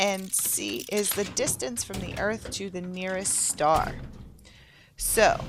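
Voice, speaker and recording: A woman's medium-pitched voice at a very slow pace, with ordinary pitch variation and music in the background. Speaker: gaming youtuber. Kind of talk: gameplay walkthrough commentary.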